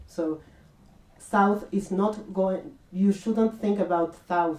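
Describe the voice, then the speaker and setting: A woman with a non-native accent talks at a fairly slow pace. Her intonation stays fairly even. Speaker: art researcher and network coordinator. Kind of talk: public lecture. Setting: public talk with audience. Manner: halting, many fillers.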